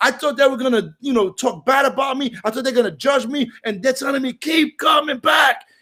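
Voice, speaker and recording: Loud and animated, a man speaks at a moderate pace in an extremely high pitch, his tone bright and sharp, with ordinary pitch variation. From Brooklyn, New York (Puerto Rican). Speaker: recovery meeting speaker. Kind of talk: recovery share.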